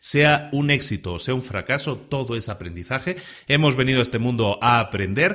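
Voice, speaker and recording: Very clean and silent in the background, the recording captures a man at a moderate pace and medium pitch, his bright, sharp tone touched with vocal fry. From Spain. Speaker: podcast host. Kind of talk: podcast monologue. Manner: conversational, some repetitions and fillers.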